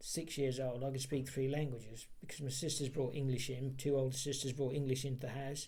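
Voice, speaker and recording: A man's dark, mellow, somewhat breathy voice at medium pitch, fairly quick with hardly any pauses, monotone and flat in intonation, with audible room echo. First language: Polish. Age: 60s. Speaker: interviewee for heritage project. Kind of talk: oral history interview. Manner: halting, many repeated words.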